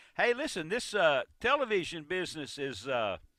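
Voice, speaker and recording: A man with vocal fry, a fairly high pitch, very wide pitch swings and a fairly slow pace. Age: 70s. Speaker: radio host. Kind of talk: call-in radio chat. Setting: radio studio.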